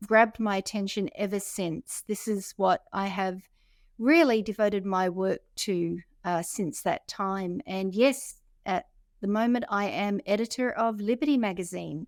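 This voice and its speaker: A woman talks at medium pitch with an Australian accent. The recording is very clean, with a silent background. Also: ordinary pitch variation, fairly slow pace, dry, close sound with no echo. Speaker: podcast co-host, magazine editor. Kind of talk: casual chat.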